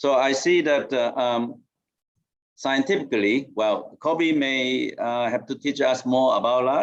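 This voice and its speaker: A man in a Mandarin accent speaks at a fairly slow pace. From Taiwan. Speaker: professor. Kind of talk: debate speech. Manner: halting, many fillers.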